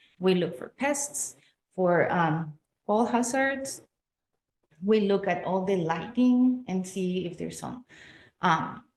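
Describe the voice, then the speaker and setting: Speaking very slowly with long, frequent pauses, a woman with a Spanish accent uses lively intonation at a medium pitch. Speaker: public health educator. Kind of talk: community presentation. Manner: hesitant, many fillers.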